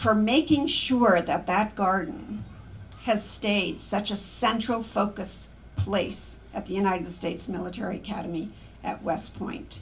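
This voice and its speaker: Fairly slow speech with vocal fry and ordinary pitch variation, with audible room echo. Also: woman. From not Polish. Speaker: memorial speaker, preservation project leader. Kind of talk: memorial speech.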